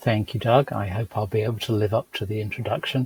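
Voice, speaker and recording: Somewhat breathy, a man with a British accent is heard with a dry, close sound and no echo. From UK. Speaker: food microbiologist. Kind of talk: interview.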